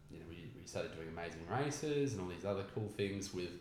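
A man with a fairly low pitch and an Australian accent talks at a fairly quick pace with lively intonation over noticeable background noise. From Australia, Newcastle NSW. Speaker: meditation teacher. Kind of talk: casual chat.

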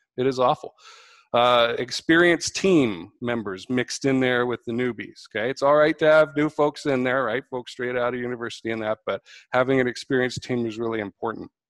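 A man with an unremarkable speaking voice talks at a fairly quick pace and medium pitch, recorded dry and close with no echo. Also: ordinary pitch variation. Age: 40s. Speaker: process engineering consultant. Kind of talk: online panel talk.

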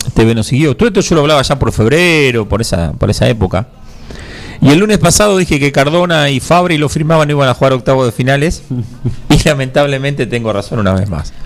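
Against noticeable background noise, a man speaks fairly quickly at a fairly high pitch with lively intonation. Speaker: radio host. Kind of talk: casual chat about football.

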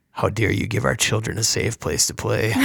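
A man's raspy, put-on character voice, fairly low in pitch, at a moderate pace. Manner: sinister, menacing.

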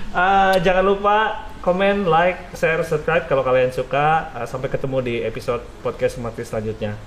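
Lively intonation and a fairly quick pace carry this speech, with hardly any pauses, over noticeable background noise. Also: man, high pitch for a man. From West Java (Sundanese). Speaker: podcast host and teacher. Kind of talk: casual interview. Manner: halting with fillers.

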